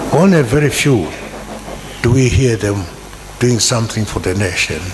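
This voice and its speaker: A man speaks with lively intonation. Audible room echo and noticeable background noise surround his voice. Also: medium pitch for a man, moderate pace. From Zimbabwe. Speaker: university lecturer. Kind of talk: audience comment at book launch. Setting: hall with audience.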